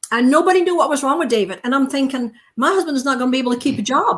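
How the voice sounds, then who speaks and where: A woman talks at a very fast pace. She has a Dutch accent. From Netherlands. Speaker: naturopathic doctor. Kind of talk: testimony.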